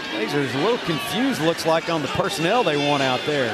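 A man speaks in an animated tone. There is noticeable background noise. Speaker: radio play-by-play announcer. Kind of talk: live play-by-play sports commentary. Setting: radio broadcast booth at stadium. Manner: animated, clipped, informative.

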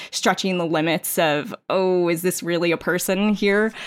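In a very clean recording with a silent background and a dry, close sound with no echo, a woman with an American accent uses an ordinary speaking voice at medium pitch, with ordinary pitch variation and a fairly slow pace. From New York City suburbs, US. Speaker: teacher and librarian, podcast panelist. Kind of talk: casual chat.

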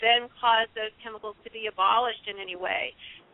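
In a plain, everyday voice, a woman speaks at a fairly quick pace with a fairly high pitch and fairly even intonation. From US Midwest, Illinois. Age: 50s. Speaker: ecologist and author. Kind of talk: radio interview.

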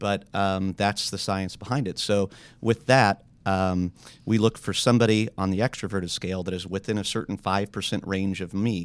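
A plain, everyday voice with fairly even intonation moves at a fairly quick pace in a very clean recording with a silent background. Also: man. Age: 40s. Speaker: businessman seeking a partner. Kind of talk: casual chat. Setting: studio.

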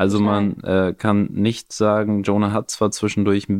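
A man with a fairly low pitch speaks at a moderate pace. The sound is dry and close with no echo, over a quiet background. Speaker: podcast host and new father. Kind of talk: casual chat.

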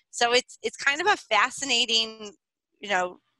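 A woman's bright, sharp tone, dry and close with no echo

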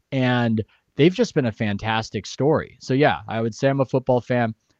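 Here a man speaks with a Californian accent. His pace is moderate. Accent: Californian American. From San Diego, California. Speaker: sports writer. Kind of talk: interview. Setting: video call from home office.

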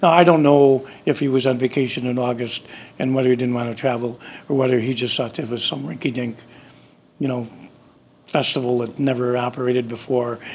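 A man speaks with an Upper Midwest accent. His pitch is medium and his intonation fairly even. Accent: Upper Midwest American. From US Midwest, Chicago area then Wisconsin. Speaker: festival founder. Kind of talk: interview. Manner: halting, many fillers.

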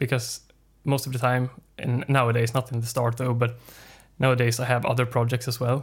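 In a very clean recording with a silent background, a man with a Swedish accent and medium pitch speaks at a fairly quick pace in a monotone, flat intonation, sounding somewhat breathy. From northern Sweden. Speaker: independent musician. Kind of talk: casual chat.

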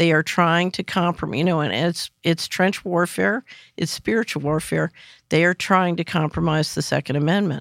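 A woman with an American accent speaks at a moderate pace in a fairly low voice with vocal fry and ordinary pitch variation. The very clean recording has a silent background and a dry, close sound with no echo. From US Northeast, West Philadelphia. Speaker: financial analyst and former government official. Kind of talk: interview.

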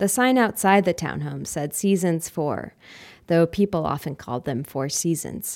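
A woman's fairly low voice at a moderate pace, with ordinary pitch variation, in a very clean recording with a silent background. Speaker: housing reporter. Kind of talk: scripted narration. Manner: soft-spoken.

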